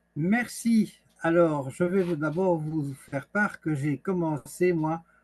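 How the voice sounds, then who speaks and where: Somewhat breathy and fairly high-pitched, a man speaks with ordinary pitch variation in a dry, close recording with no echo. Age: 60s. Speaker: wellness coach. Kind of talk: online presentation. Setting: video call.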